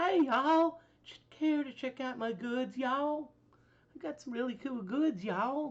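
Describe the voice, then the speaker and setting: Pitched high for a woman, a female-sounding voice does a put-on character voice at a fairly slow pace. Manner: salesy, inviting.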